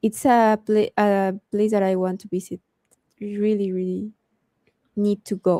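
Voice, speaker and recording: In a non-native accent, a woman speaks at a medium pitch with flat, monotone intonation and a dark, mellow tone. The sound is dry and close with no echo, and she leaves long, frequent pauses. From Mexico. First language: Spanish. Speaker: cosplayer and streamer. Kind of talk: casual interview chat. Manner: halting.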